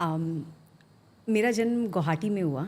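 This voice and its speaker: A woman with ordinary pitch variation, in a very clean recording with a silent background. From India, Assam (Guwahati). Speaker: finance professional, former investment banker. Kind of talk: podcast interview. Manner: code-switching Hindi and English, many fillers.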